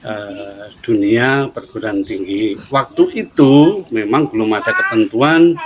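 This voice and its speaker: Noticeable background noise sits under this clip. The man talks very slowly. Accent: Javanese. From Central Java, Solo. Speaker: head of university study program. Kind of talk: interview.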